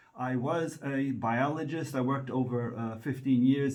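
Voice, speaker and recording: Speaking in an American accent, a man with a medium pitch keeps a fairly even intonation while audible room echo surrounds his voice. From United States. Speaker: medical writer. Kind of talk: presentation. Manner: hesitant, many fillers.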